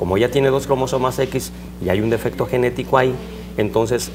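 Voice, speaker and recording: Music runs in the background while the words come at a fairly quick pace. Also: man. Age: 60s. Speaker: surgeon. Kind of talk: interview.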